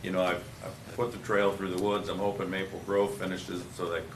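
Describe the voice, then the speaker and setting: Through noticeable background noise and audible room echo, a man with an Upper Midwest accent talks at a fairly quick pace in a very deep, low pitch with monotone, flat intonation. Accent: Upper Midwest American. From Dayton, Minnesota. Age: 60s. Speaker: developer. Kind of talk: public meeting discussion.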